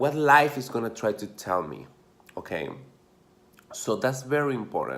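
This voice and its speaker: An Argentine accent marks this man's speech, delivered at a moderate pace. His intonation is lively, his pitch medium. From Argentina, Mendoza. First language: Spanish. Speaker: dancer and motivational vlogger. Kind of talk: motivational talk to camera. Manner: casual, filler-heavy.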